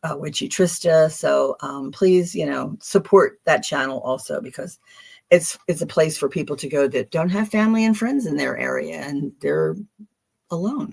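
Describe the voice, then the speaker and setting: With a Philadelphia accent, a woman speaks at a moderate pace. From Philadelphia, US. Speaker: tarot reader. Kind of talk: live stream card reading. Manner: casual, hesitant with fillers.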